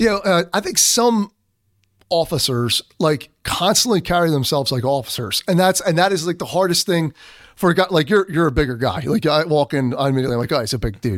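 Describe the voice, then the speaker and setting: A man with a Philadelphia accent and a high pitch speaks at a fairly quick pace with lively intonation, in a dry, close sound with no echo. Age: 40s. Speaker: military police commander and federal investigator. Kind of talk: casual interview.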